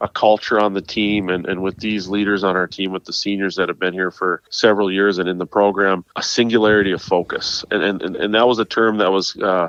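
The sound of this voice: With an American accent, a man speaks at a fairly quick pace with few pauses, his low voice fairly bright, clear and smooth in tone, showing little pitch movement, and the sound is dry and close with no echo.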